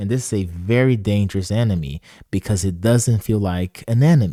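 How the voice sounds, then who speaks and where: A man with a non-native accent speaks at a moderate pace in a dark, mellow tone. The recording is very clean, with a silent background and a dry, close sound with no echo. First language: not English. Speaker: motivational speaker. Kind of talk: motivational talk. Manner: repetitive, conversational.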